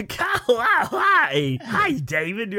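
A shrill, fairly high-pitched put-on character voice. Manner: wacky, cheerful.

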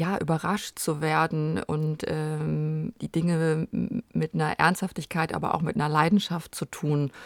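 In a very clean recording with a silent background, a woman speaks with a very deep, low pitch and fairly even intonation. Her fairly slow delivery sounds dry and close, with no echo. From Germany, Rhineland near Cologne. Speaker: film producer. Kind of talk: interview.

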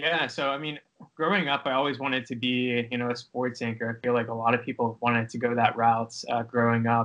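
With an American accent, a man speaks in a plain, everyday voice at medium pitch, moving at a fairly quick pace with fairly even intonation. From Pittsburgh, Pennsylvania. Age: 20s. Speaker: sports video producer. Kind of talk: interview.

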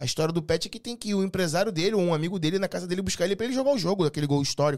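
This man speaks at a very fast pace and a high pitch. His intonation is lively. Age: 30s. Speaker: entrepreneur and delivery business consultant. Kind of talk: casual chat.

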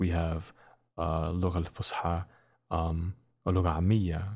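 In a very clean recording with a silent background, a man speaks in a very deep, low pitch with a dark, mellow, somewhat breathy tone and monotone, flat intonation. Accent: American. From US Midwest, Dearborn, Michigan. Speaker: poet and community organizer. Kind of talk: casual interview.

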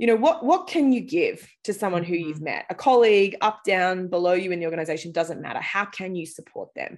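A woman with an Australian accent, lively intonation and a fairly quick pace. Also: medium pitch for a woman. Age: 30s. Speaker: startup founder, former journalist. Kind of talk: casual interview. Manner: casual, conversational.

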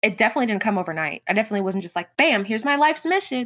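This woman speaks in an American accent. Her voice carries a bright, sharp tone. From US South. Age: 20s. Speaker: graphic designer and entrepreneur. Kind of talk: interview.

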